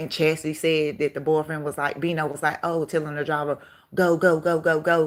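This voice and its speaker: This woman's pitch is very deep and low, her intonation monotone and flat, at a fairly quick pace. The recording is very clean with a silent background. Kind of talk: casual chat. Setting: livestream. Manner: fast.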